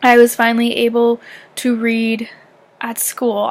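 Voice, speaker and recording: Noticeable background noise sits behind this woman. She has a high pitch and an American accent. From Canada, southern Ontario near Michigan. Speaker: YouTuber. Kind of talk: casual vlog chat. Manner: animated.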